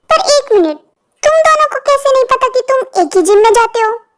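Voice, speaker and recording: A woman does a put-on character voice that is squeaky and extremely high-pitched, with lively intonation and a very fast pace. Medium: read story.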